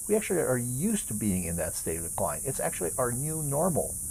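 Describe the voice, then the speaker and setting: A man's voice shows very wide pitch swings and vocal fry. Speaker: age management coach. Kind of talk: casual talk to camera.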